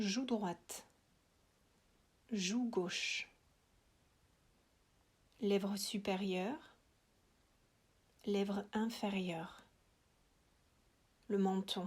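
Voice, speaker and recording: A woman speaks at medium pitch, very slowly, with long, frequent pauses. Her voice is somewhat breathy, with fairly even intonation and very even loudness. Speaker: yoga nidra guide. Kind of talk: guided relaxation.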